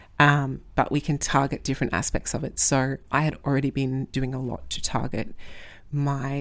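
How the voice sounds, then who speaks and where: A woman speaks at a moderate pace in an Australian accent, her pitch very deep and low. The recording is very clean, with a silent background. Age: 20s. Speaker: strength coach and podcast host. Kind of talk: solo podcast monologue. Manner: hesitant, many fillers.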